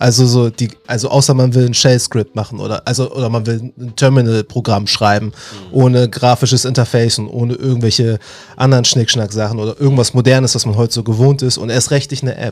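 Very fast and in a monotone, flat intonation, a man speaks at a medium pitch. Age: 30s. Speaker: software engineering student and IT trainer. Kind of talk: casual interview. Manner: halting, many fillers.

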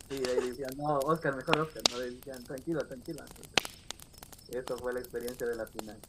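Against noticeable background noise, a man talks at a fairly quick pace in a medium pitch with fairly even intonation. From Riobamba, Ecuador. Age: 20s. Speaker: game contest winner. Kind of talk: casual interview chat.

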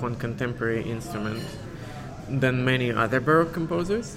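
Against a clearly audible backdrop of noise, the man's voice holds a middle pitch. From Siberia, Russia. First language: Russian. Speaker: concert pianist. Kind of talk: interview. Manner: halting.

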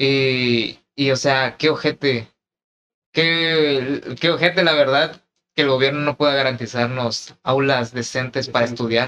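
With a Mexican accent, the speaker uses a bright, sharp tone, fairly even intonation and a fairly slow pace. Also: man, medium pitch for a man. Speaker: podcast co-host. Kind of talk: casual chat.

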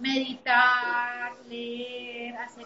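A woman speaks with a Bogotá Colombian accent. Her pitch is high. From Colombia, Bogotá. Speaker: entrepreneur. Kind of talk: interview.

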